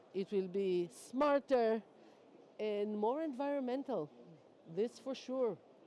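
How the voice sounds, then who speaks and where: Pausing long and often at a very slow pace, a woman with a non-native accent has a dark, mellow tone, a fairly high pitch and lively intonation. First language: not English. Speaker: energy sector panelist. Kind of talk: panel discussion.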